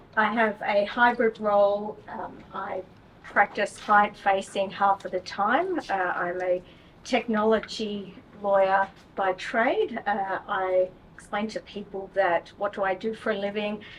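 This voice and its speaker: Amid noticeable background noise, a woman speaks with an Australian accent. Her pitch is medium, her intonation fairly even and her pace fairly slow. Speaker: technology lawyer. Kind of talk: panel discussion.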